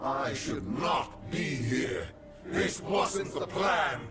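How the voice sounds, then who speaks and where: Clear background noise runs under the recording. A man uses a high-pitched put-on character voice at a very slow pace. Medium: machinima. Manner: menacing, imperious.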